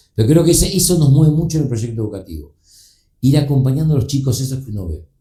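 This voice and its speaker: Speaking very fast, a man uses a dark, mellow tone at a medium pitch, somewhat breathy, with lively intonation. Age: 60s. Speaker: book publisher. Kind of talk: casual chat. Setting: studio.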